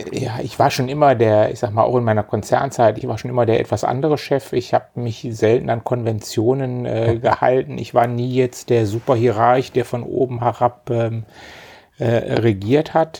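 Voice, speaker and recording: Speaking at a moderate pace, a man with a medium pitch has a dark, mellow tone and fairly even intonation. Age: 50s. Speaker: company managing director. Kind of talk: interview conversation.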